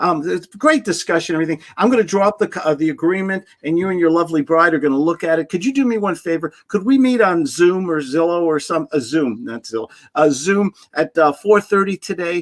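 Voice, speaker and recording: A man's high pitch and lively intonation, an animated tone with hardly any pauses, in a dry, close sound with no echo. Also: fairly quick pace. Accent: New York. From New York. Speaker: sales trainer. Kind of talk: podcast interview.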